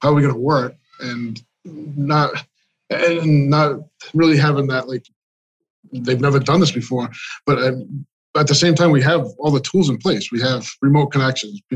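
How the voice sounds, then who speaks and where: Somewhat breathy, a man with an American accent talks at a fairly high pitch with fairly even intonation and long, frequent pauses. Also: moderate pace. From Massachusetts. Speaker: IT director. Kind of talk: casual interview chat.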